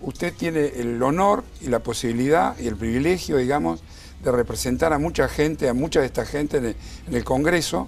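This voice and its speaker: Noticeable background noise fills the recording. Over it, a man speaks with lively intonation. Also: medium pitch for a man, fairly quick pace. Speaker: lawyer or pension rights advocate. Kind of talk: TV interview.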